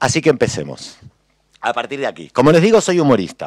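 A man talks very fast at a fairly high pitch, with vocal fry, over a quiet background in a dry recording with no echo. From Argentina, Buenos Aires. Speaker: cartoonist and humorist; panelist. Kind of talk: panel talk. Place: hall. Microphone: podium.

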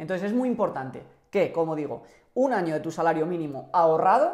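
A man talks at a fairly quick pace. His pitch sits fairly high and makes big swings.

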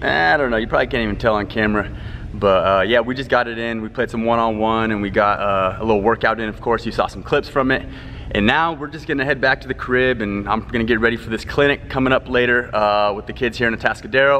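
Talking at a very fast pace with ordinary pitch variation, a man is heard over light background noise. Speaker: basketball trainer. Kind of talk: casual vlog chat. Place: hall. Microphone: phone near.

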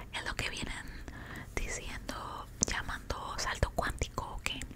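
A woman whispers in a playful tone. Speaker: ASMR content creator. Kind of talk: casual ASMR talk to camera, eating and storytelling. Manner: soft, whispered, playful and chatty. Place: home room. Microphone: studio mic.

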